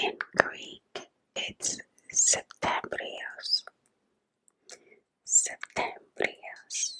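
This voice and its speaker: This woman is whispering. She goes at a very slow pace. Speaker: ASMR creator. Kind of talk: ASMR whisper video. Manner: whispered. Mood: calm, warm. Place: home room. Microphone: studio mic.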